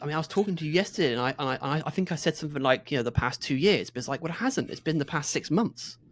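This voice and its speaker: Lively intonation at a very fast pace. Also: man. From southwest England, Exeter in Devon. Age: 30s. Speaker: podcast co-host. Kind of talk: casual chat. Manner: halting.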